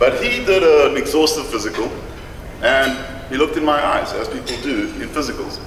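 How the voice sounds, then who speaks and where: A man speaks at a fairly quick pace. The room echoes audibly and there is noticeable background noise. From South Africa. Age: 50s. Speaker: patient speaker. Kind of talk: conference talk. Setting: stage with audience, no microphone. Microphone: no microphone.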